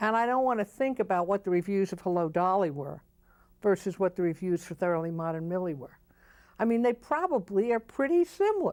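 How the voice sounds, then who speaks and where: A woman with an unremarkable speaking voice, medium pitch, lively intonation and a fairly quick pace, on a very clean recording with a silent background. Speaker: Broadway producer. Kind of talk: interview answer, opinionated and candid. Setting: TV talk show studio.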